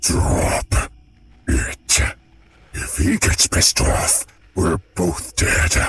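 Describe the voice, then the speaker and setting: A growling, put-on character voice creeps along at a very slow pace, broken by long, frequent pauses. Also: man. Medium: audio drama. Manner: dry, blunt.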